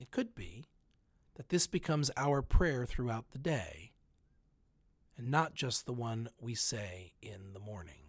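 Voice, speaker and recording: A somewhat breathy man with a medium pitch speaks at a fairly slow pace, with long, frequent pauses. His intonation is lively and his loudness swings widely, on a very clean recording with a silent background. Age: 40s. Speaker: pastor. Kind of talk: spoken reflection.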